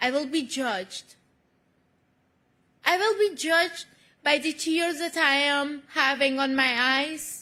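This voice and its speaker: A woman speaks in a raised, projected voice, high-pitched with ordinary pitch variation and a bright, sharp tone, moving at a very slow pace with long, frequent pauses. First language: not English. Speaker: award honoree, activist. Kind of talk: award acceptance speech. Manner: emotional, halting.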